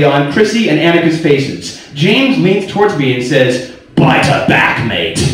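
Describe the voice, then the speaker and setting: Noticeable background noise accompanies a man speaking with a high pitch and very wide pitch swings. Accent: American. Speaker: spoken word performer. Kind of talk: spoken word performance, personal story told to a live audience. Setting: live venue, bar.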